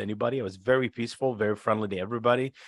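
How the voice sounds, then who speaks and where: A man with an Iraqi accent speaks at a medium pitch with fairly even intonation against a quiet background. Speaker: former interpreter and author. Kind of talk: interview, telling stories.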